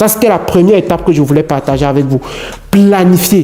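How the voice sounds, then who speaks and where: Noticeable background noise sits behind the speech. A man with a high pitch speaks with ordinary pitch variation. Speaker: immigration advice youtuber. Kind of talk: vlog tutorial.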